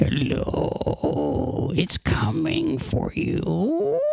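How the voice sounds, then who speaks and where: A growling, put-on character voice. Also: man. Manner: creepy, menacing.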